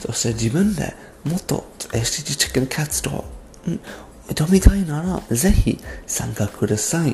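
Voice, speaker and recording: A man with a fairly high pitch and very wide pitch swings, at a fairly slow pace with long, frequent pauses. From abroad, non-Japanese. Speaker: podcaster. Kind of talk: solo podcast monologue. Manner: halting.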